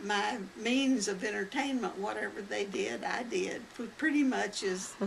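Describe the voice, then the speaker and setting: A woman with an American accent speaks at a fairly slow pace. Audible room echo and noticeable background noise surround her voice. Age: 90s. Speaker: elderly interviewee recounting family history. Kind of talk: oral history interview. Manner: halting.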